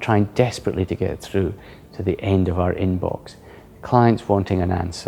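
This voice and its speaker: A man keeps a moderate pace while noticeable background noise continues around him. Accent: Scottish. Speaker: senior lawyer. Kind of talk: interview. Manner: halting, with repeated words.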